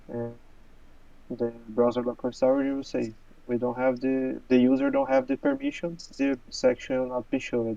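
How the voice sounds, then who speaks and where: Speaking at a moderate pace with a non-native accent, a man uses a medium pitch and monotone, flat intonation. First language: not English. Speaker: software developer co-host. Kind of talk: technical discussion. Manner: halting, many fillers and repeats.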